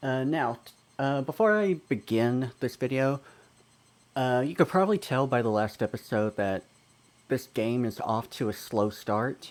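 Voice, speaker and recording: This man has an unremarkable speaking voice at a medium pitch, with lively intonation and a fairly slow pace. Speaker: let's player. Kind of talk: casual talk to camera. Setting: home microphone, occasional glitching.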